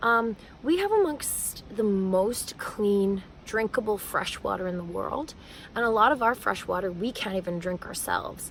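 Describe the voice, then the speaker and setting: With a Canadian accent, a woman speaks at a moderate pace, her medium pitch showing ordinary pitch variation. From Canada, Manitoba. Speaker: educator and singer-songwriter. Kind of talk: vlog monologue. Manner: hesitant, many fillers.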